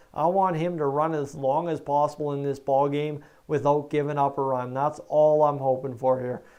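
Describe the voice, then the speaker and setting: A man's fairly high, dark and mellow voice with a strong Canadian accent, monotone and flat, at a moderate pace with hardly any pauses. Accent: thick Canadian. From Canada, northern Alberta. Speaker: baseball stream commentator. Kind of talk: live play-by-play commentary. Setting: live stream.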